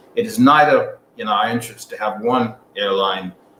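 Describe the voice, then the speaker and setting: A man speaks at a fairly slow pace with noticeable background noise behind him. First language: not English. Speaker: airline executive. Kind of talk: radio interview. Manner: halting, many fillers.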